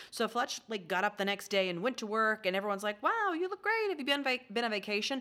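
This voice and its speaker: A very fast, lively-intoned delivery with hardly any pauses over noticeable background noise. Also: woman, fairly high pitch for a woman. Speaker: podcast co-host and memoir author. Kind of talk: casual chat.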